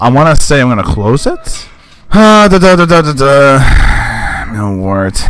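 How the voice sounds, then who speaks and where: A man with a fairly high pitch speaks fairly slowly, his voice making very wide pitch swings in a dry sound with no echo. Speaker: gaming commentator. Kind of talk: let's play commentary. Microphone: studio mic.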